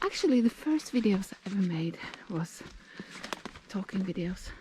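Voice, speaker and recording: A woman speaks in a Norwegian accent. Her pitch is medium. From Norway, Oslo. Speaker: nature vlogger. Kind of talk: casual vlog narration while hiking. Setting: outdoors, hiking in forest. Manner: casual, hesitant with fillers; slightly breathless while walking.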